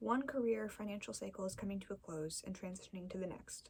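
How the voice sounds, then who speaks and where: A soft-spoken woman talks at a fairly quick pace. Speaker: ASMR creator. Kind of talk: ASMR tarot card reading.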